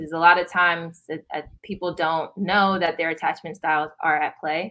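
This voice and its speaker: Loud and fairly quick, a woman with a fairly low voice speaks in a bright, sharp tone with fairly even intonation. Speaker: licensed counselor. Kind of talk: interview. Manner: halting with fillers.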